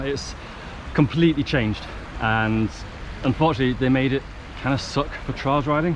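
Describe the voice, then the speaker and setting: Noticeable background noise sits behind a man. He speaks fairly quickly with ordinary pitch variation. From Northern England. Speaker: trials bike rider. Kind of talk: casual vlog talk to camera.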